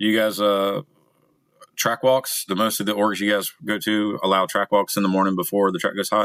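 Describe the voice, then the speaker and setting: In an American accent, a man with an unremarkable speaking voice talks at a moderate pace and fairly low pitch, his intonation fairly even, the sound dry and close with no echo. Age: 40s. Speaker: motorcycle riding coach. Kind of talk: casual chat.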